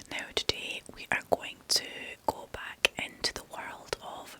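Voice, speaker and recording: A woman whispers at a very slow pace in a Scottish accent. Noticeable background noise can be heard. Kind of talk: ASMR whispered story reading. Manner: whispered, soft.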